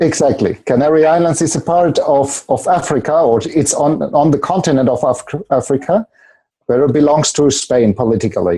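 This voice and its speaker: A man with a German accent speaks at a moderate pace, his dark, mellow tone edged with vocal fry. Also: fairly high pitch for a man, ordinary pitch variation, very even loudness. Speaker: seminar leader and coach. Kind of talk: interview. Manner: halting.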